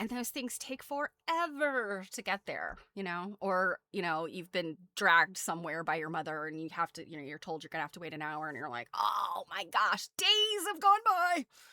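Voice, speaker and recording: On a very clean recording with a silent background and a dry, close sound with no echo, a woman with a bright, sharp tone speaks at a moderate pace with hardly any pauses, very wide pitch swings and big swings in loudness. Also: medium pitch for a woman. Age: 40s. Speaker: streamer. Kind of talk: casual chat. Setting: live stream. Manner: rambling with many fillers.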